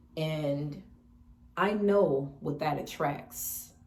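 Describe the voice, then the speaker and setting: A woman's very deep, low voice, relaxed in tone, with fairly even intonation, audible room echo and noticeable background noise. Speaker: lifestyle vlogger. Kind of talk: casual mukbang vlog talk. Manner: relaxed, conversational with self-corrections.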